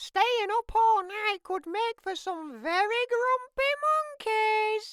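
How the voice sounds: A man's cartoonish character voice, extremely high-pitched and fairly bright, with ordinary pitch variation, a slow pace and a dry, close sound with no echo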